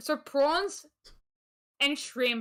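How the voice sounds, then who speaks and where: Speaking with an Australian accent, a woman has a bright, sharp tone and ordinary pitch variation. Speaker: gaming podcast host. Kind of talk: casual chat.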